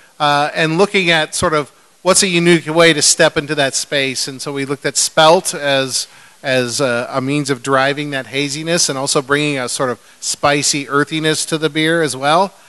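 A man with an American accent, fairly high pitch, a bright, sharp tone, fairly even intonation and a moderate pace. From California, Bay Area; California. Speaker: brewmaster; panelist. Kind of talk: live panel talk. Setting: stage with audience. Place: stage.

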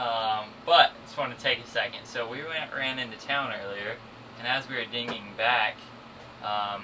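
A man speaks with ordinary pitch variation over noticeable background noise. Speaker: sailing vlogger. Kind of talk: casual vlog chat. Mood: cheerful, amused. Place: boat.

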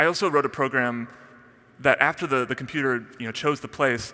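At a fairly quick pace, a man talks in a bright, sharp tone. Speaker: conference speaker. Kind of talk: keynote talk. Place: stage. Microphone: headset.

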